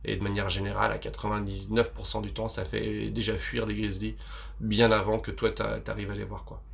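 A man speaks with big swings in loudness. Audible room echo surrounds his voice. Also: fairly slow pace. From France, Vosges. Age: 30s. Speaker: adventurer and filmmaker. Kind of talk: interview conversation. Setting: on a sailboat. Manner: hesitant, many fillers.

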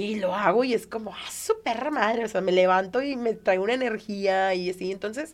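A woman with a Mexican accent talks with hardly any pauses. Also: medium pitch for a woman, ordinary pitch variation, moderate pace. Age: 30s. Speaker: stand-up comedian. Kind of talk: casual interview chat.

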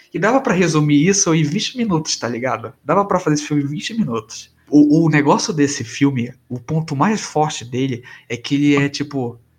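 A man talks at a fairly quick pace in a fairly high, somewhat breathy voice with lively intonation. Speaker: podcast co-host. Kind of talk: casual chat.

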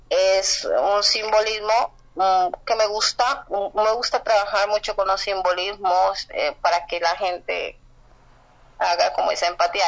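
Fairly slow speech from a woman at a medium pitch. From Colombia. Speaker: writer. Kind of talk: interview.

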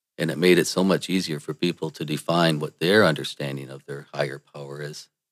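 A man with an American accent, fairly quick in pace, with ordinary pitch variation, dry and close with no echo, on a very clean recording with a silent background. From Michigan, US. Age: 50s. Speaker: political commentator. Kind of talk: monologue.

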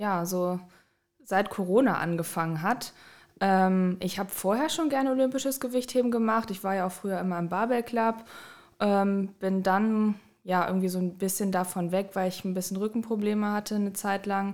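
A woman talks in an ordinary speaking voice at medium pitch with ordinary pitch variation. The recording is very clean, with a silent background. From Düsseldorf, Germany. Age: 20s. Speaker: master's student and fitness coach. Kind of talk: casual interview chat.

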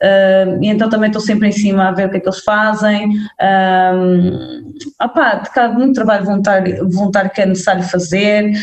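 A woman's somewhat breathy, medium-pitched voice in a northern Portuguese accent, at a moderate pace with very even loudness and fairly even intonation. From northern Portugal. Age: 30s. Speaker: anti-racism content creator. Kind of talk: casual chat.

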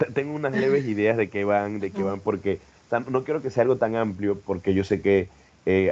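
A man's fairly low, dark, mellow voice. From Panama City. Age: 30s. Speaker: poet and chef. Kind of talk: interview.

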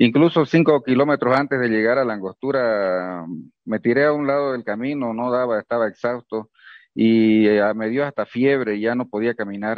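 Moving at a moderate pace, the man's medium-pitched voice shows ordinary pitch variation. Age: 50s. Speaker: unemployed accountant on protest march. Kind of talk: phone interview.

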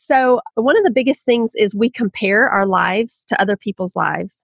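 Speaking in a Southern US accent at a moderate pace, a woman uses a fairly high pitch with ordinary pitch variation, and the sound is dry and close with no echo. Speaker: author. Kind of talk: podcast interview.

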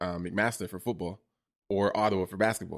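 With a Toronto accent, a man talks at a fairly quick pace in a fairly low pitch with ordinary pitch variation, on a very clean recording with a silent background. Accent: Toronto Canadian English. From Toronto, Canada. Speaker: photographer and content creator. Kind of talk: casual interview.

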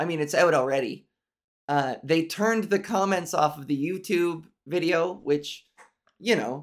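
A woman's fairly low voice at a moderate pace, with ordinary pitch variation and long, frequent pauses. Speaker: podcaster. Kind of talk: casual monologue. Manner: strained, raised-larynx voice.

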